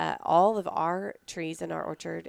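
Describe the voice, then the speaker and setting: A Texan accent at a fairly slow pace, dry and close with no echo, on a very clean recording with a silent background. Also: woman. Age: 30s. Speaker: pecan business owner. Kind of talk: interview. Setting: at her business in Texas.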